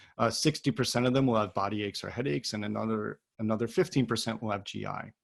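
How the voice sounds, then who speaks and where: Vocal fry runs through a man's medium-pitched voice. He talks very fast, with ordinary pitch variation. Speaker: pediatric physician presenter. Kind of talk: lecture.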